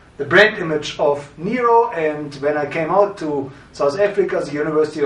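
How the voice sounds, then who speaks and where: Recorded with audible room echo and noticeable background noise, a man speaks at a high pitch. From Germany, Berlin. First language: German. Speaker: branding consultant and historian. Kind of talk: course introduction.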